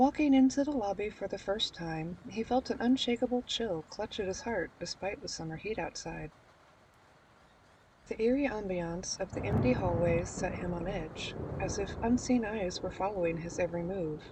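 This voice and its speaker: With lively intonation and a medium pitch, a soft-spoken woman talks at a moderate pace. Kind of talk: horror story narration.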